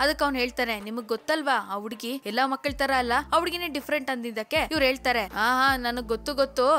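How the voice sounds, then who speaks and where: A woman projects a raised voice at a high pitch, her tone bright and sharp, with ordinary pitch variation. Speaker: movie explainer. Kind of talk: movie recap narration. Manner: casual, conversational.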